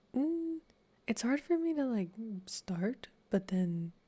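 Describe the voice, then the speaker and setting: A man with a calm, dark, mellow tone. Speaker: streamer. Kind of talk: ASMR reading stream. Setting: live stream. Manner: soft-spoken.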